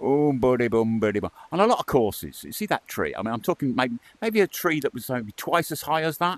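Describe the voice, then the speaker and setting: The speaker has an English accent and very wide pitch swings at a moderate pace. The sound is dry and close, with no echo. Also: man. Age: 60s. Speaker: VR gaming YouTuber. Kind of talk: gameplay commentary. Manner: casual, rambling with hesitations.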